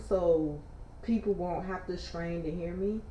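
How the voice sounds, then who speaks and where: There is audible room echo and noticeable background noise as a woman of medium pitch speaks with ordinary pitch variation. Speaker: livestreamer reading news. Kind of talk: casual news read and commentary. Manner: loud.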